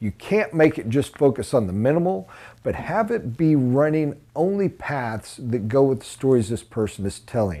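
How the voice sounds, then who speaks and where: With an American accent, a man speaks in a dark, mellow tone at a fairly slow pace. His intonation is lively. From USA. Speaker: sales trainer. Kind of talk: training lecture. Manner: emphatic. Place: classroom. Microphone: lapel.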